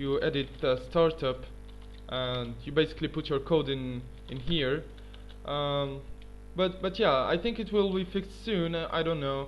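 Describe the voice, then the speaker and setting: With music in the background, a man speaks at a moderate speed. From Tunisia. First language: not English (third language). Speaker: gaming YouTuber. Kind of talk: tutorial. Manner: halting, many fillers.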